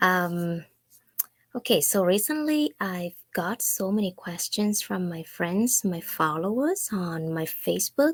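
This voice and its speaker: Speaking at a very slow pace with a Vietnamese accent, a woman uses medium pitch and lively intonation in a dry, close sound with no echo. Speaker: online business owner. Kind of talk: casual talk to camera.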